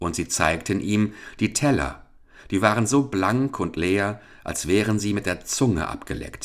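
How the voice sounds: The pitch moves with ordinary variation. It belongs to a natural reading voice.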